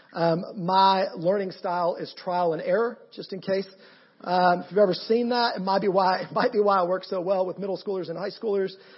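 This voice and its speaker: With a Georgia accent, a man talks at a fairly quick pace. His voice is high, with fairly even intonation. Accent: Georgia Southern American. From US South. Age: 30s. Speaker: pastor. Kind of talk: sermon. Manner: halting.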